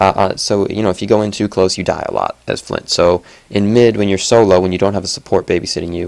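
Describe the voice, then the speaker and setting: This man has a fairly low pitch. He talks at a fairly quick pace. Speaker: gaming video commentator. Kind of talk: replay analysis commentary. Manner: fast; casual, filler-heavy.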